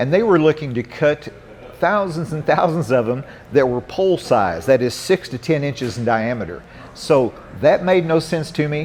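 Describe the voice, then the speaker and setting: The speaker has an American accent and lively intonation. Noticeable background noise runs under the voice. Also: man, fairly high pitch for a man, moderate pace. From Southern Illinois. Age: 60s. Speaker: environmental activist and former coal miner. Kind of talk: interview. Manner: halting, many fillers and restarts.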